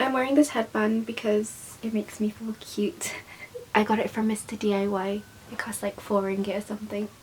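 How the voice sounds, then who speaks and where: A woman with a British accent, fairly high pitch, fairly even intonation, and a fairly quick pace, amid noticeable background noise. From Malaysia. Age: young. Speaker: YouTuber. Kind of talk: casual talk to camera.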